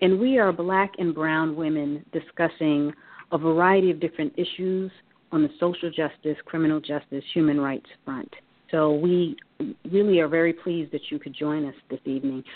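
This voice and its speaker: A woman with an unremarkable speaking voice, fairly low in pitch, at a moderate pace with ordinary pitch variation. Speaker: radio host. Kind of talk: radio roundtable discussion.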